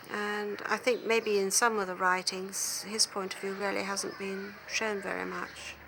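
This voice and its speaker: A woman talks at a fairly slow pace and a medium pitch, her intonation monotone and flat. She hardly pauses at all. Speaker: author's daughter. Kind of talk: documentary interview answer.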